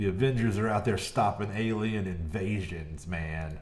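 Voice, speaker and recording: A man talks in an animated tone at a fairly low pitch with ordinary pitch variation. The room echo is audible. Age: 40s. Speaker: gaming streamer. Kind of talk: live gameplay commentary. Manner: loud.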